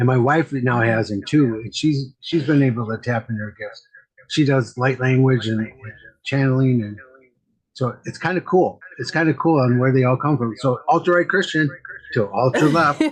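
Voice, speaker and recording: A somewhat breathy man's voice at a medium pitch, with ordinary pitch variation and a moderate pace. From US Midwest, Wisconsin. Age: 60s. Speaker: medium and mentor. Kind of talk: casual chat. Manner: repetitive, halting.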